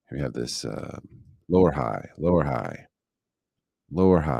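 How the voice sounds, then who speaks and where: This man has a relaxed tone with vocal fry. His intonation is lively and his pace moderate. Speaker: day trader streaming live. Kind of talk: live trading commentary. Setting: live stream. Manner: relaxed, chill.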